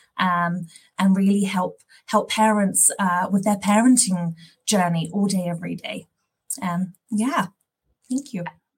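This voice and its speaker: Long, frequent pauses break up a woman's somewhat breathy, medium-pitched voice with fairly even intonation. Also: fairly slow pace. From London, England. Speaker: parent program partner manager, former teacher. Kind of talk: interview, explaining an app.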